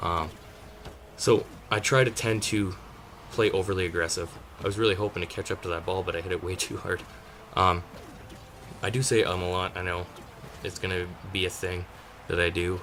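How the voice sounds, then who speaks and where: Very deep, low pitch from a man, fairly even in intonation and fairly quick, yet with long, frequent pauses and noticeable background noise. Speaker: gaming commentator. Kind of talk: gameplay commentary. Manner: hesitant, many fillers; casual, conversational.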